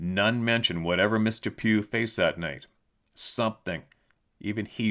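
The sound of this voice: With a quiet background, an unforced reading voice shows ordinary pitch variation.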